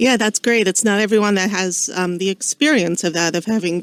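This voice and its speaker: A woman with an American accent speaks with fairly even intonation, recorded with a dry, close sound and no echo on a very clean track with a silent background. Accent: Long Island, slight, comes out sometimes. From Long Island, New York. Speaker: radio host, estate law. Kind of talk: radio interview. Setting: radio studio.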